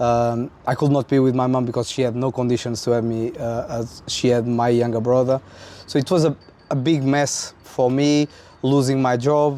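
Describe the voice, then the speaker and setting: A man speaks with a Portuguese accent in a monotone, flat intonation. Noticeable background noise runs behind him. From central north Portugal. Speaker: trumpeter. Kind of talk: interview.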